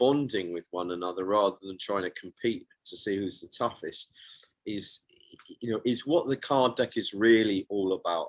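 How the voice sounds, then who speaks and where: This man has an ordinary speaking voice at a medium pitch with ordinary pitch variation. He talks at a fairly slow pace. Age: 60s. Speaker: men's coach and author. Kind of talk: interview. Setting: radio show.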